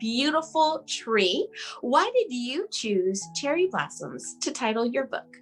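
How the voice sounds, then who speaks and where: Music plays in the background as a woman speaks very slowly at a high pitch with very wide pitch swings. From US East Coast. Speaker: talk show host. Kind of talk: interview. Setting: video call.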